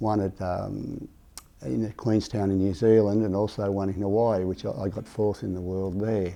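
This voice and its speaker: With an Australian accent, a man speaks at a moderate pace in a fairly low pitch, with a dark, mellow tone and ordinary pitch variation. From Australia, Sydney (Ryde). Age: 80s+. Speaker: veteran triathlete. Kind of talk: interview storytelling. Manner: halting, many fillers and repeats.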